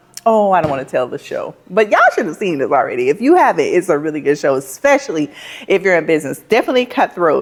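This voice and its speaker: A woman's medium-pitched voice, very fast and animated, with very wide pitch swings over noticeable background noise. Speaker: plant shop owner, vlogger. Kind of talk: vlog talking to camera.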